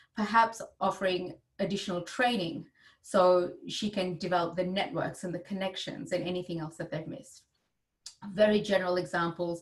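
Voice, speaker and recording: Somewhat breathy, a woman speaks at a medium pitch and a fairly quick pace. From India. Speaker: gender equity advisor and board director. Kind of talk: webinar talk. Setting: video call.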